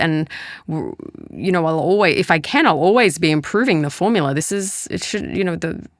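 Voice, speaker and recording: A woman speaks in a plain, everyday voice, fairly low in pitch with ordinary variation, at a moderate pace, in a dry, close recording that is very clean with a silent background. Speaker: molecular biologist and supplement company founder. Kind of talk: podcast interview.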